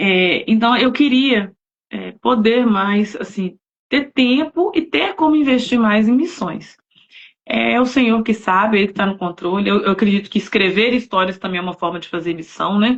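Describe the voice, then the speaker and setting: A woman with an unremarkable speaking voice, a fairly high pitch, lively intonation and a moderate pace. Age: 40s. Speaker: novelist, missionary. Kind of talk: casual chat. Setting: live stream.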